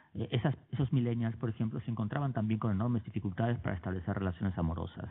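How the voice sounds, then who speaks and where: This man's voice sits at a fairly low pitch. His pitch variation is ordinary. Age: 40s. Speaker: writer. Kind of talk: public talk. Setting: auditorium with audience. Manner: halting, many fillers.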